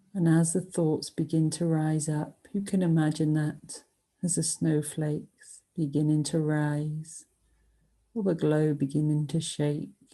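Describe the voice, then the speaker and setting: Soft-spoken and soothing, a woman talks in a very deep, low voice at a fairly slow pace, monotone and flat, with very even loudness. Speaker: yoga and meditation teacher. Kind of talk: guided meditation. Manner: soft, soothing, slow.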